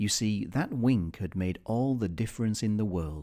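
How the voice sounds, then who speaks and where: In a British accent, a man speaks with a dark, mellow tone and a fairly low pitch at a fairly slow pace. His intonation is lively, and the recording is very clean with a silent background. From Britain. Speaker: audiobook reader. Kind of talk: children's story reading.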